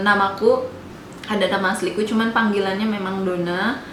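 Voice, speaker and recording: Speaking at a moderate pace with a West Javanese accent, a woman keeps a medium pitch and fairly even intonation, with noticeable background noise and audible room echo. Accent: Sundanese. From West Java, Indonesia (Sundanese). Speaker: vlogger. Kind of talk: casual Q&A vlog. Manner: hesitant, many fillers.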